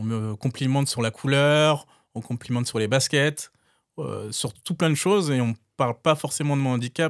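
At a moderate pace and with ordinary pitch variation, a man is heard in a dry, close recording with no echo, very clean and with a silent background. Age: 30s. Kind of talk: interview testimony. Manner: hesitant, with fillers and repetitions.

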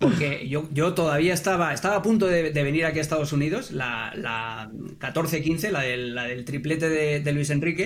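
In a Castilian accent, a man with a fairly high pitch speaks with hardly any pauses, and audible room echo surrounds his voice. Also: ordinary pitch variation, moderate pace. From Catalonia, Spain. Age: 40s. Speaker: football pundit. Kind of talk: podcast interview.

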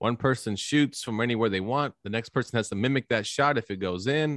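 A plain, everyday voice with lively intonation comes through a dry, close sound with no echo. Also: man. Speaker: podcast host. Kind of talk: casual banter.

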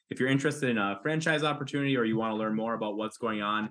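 His pitch sits in the medium range for a man. The intonation is fairly even throughout. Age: 30s. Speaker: home maintenance business owner. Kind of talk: interview. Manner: repetitive, halting phrasing.

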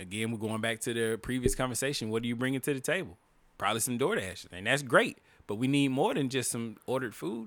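A man talks at a very fast pace in an animated tone, with a medium pitch and ordinary pitch variation. The recording is very clean, with a silent background. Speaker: podcast co-host. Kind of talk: casual profane comedic banter between co-hosts. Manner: loud, animated, joking; rapid, crude, playful.

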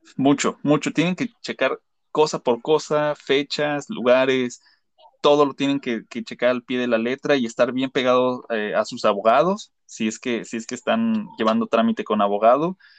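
Lively intonation from a man with a Mexican accent, medium pitch and a moderate pace, in a dry, close sound with no echo. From Mexico. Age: 30s. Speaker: graphic designer, immigrant. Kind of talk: casual interview.

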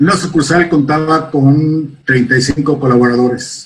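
The man's voice is somewhat breathy, and his intonation stays fairly even. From Mexico City. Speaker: sales and brand manager. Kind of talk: interview. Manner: halting, repeats words.

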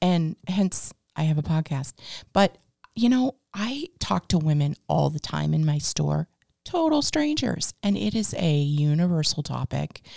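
Speaking at a fairly slow pace, a woman with an American accent is heard in a dry, close sound with no echo. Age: 50s. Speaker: podcast host and business owner. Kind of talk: casual interview chat.

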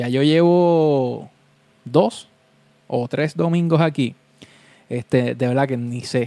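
A man's medium-pitched voice with a dark, mellow tone and a Puerto Rican accent, very slow pace, ordinary pitch variation, and long, frequent pauses. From Puerto Rico (Vega Baja). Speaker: DJ and podcast host. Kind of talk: casual solo live-stream chat. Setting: home room live stream on webcam.

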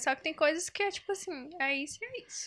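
A woman is talking. She goes very fast. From Northeast Brazil, União (Piauí). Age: 20s. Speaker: psychologist. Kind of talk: casual chat.

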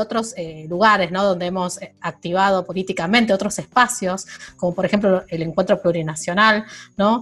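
A woman is speaking. Her pace is moderate. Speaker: podcast co-host. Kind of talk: casual chat. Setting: at home, remote recording.

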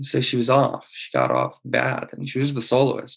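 A man with an Oklahoma accent, medium pitch and monotone, flat intonation. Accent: Oklahoma American English. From Oklahoma, US. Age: 20s. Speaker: conductor and pianist. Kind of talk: casual interview. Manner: hesitant, many fillers.

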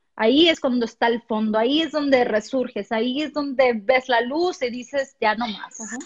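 With hardly any pauses, the speech has ordinary pitch variation. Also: woman, high pitch for a woman, moderate pace. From Mexico, Puerto Vallarta. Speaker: motivational speaker. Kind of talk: interview.

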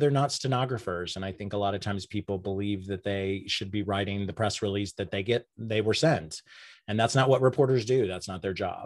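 A man with a plain, everyday voice talks at a fairly quick pace and fairly low pitch, with ordinary pitch variation, over a quiet background. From Oklahoma, Enid. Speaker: communications consultant. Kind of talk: interview.

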